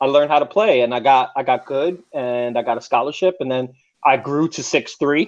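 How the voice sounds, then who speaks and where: A man speaks at a moderate pace with an American accent and ordinary pitch variation. He has a normal speaking voice. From New York. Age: 30s. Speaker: former tennis player. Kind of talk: casual chat.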